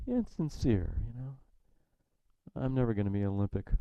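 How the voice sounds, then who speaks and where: A man at a very fast pace. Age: 60s. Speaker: Zen teacher. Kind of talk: dharma talk. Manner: halting.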